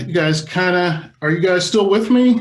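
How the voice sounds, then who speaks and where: Moderate pace and ordinary pitch variation from a man, with audible room echo. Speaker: electronic musician teaching a workshop. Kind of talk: workshop demonstration.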